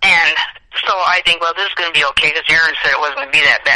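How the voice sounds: Her pitch low and her tone bright and sharp, a woman speaks with fairly even intonation.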